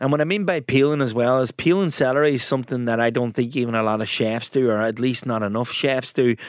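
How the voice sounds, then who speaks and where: A man with an Irish accent talks at a very fast pace with hardly any pauses. His pitch is medium, with ordinary variation. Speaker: podcast co-host. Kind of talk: casual chat.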